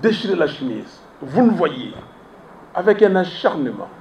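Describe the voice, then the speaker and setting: A man with a Congolese accent speaks very slowly in a high voice, with noticeable background noise and audible room echo. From DR Congo, Kinshasa. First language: Lingala (speaking French). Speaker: opposition politician. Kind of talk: press conference.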